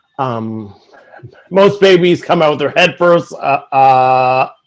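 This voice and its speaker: A man with a Newfoundland accent speaks at a very slow pace, his medium-pitched voice carrying lively intonation. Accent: Newfoundland Canadian English. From Newfoundland, Canada (St. John's). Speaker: sportswriter. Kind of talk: conference talk. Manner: halting, many fillers and repetitions.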